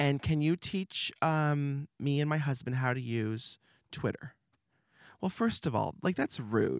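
Recorded very cleanly against a silent background, a man with a fairly high pitch talks at a fairly slow pace in an energetic, animated tone, with ordinary pitch variation and a dry, close sound with no echo. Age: 30s. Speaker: creative studio owner and artist. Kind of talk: casual interview chat. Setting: studio.

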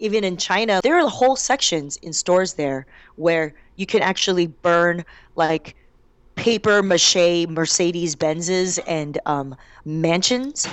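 A woman with an American accent speaks at a fairly slow pace in a fairly low pitch, with lively intonation and an unremarkable speaking voice. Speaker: stand-up comedian. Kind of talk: interview.

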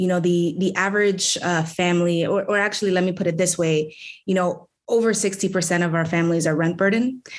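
Speaking with an American accent and a normal speaking voice, a woman with a fairly low pitch keeps a fairly quick pace, fairly even intonation and very even loudness. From New York City, the Bronx. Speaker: city council member. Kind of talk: political interview.

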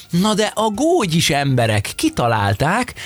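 A man's animated tone comes through over noticeable background noise. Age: middle-aged. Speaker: podcast co-host. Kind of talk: casual chat.

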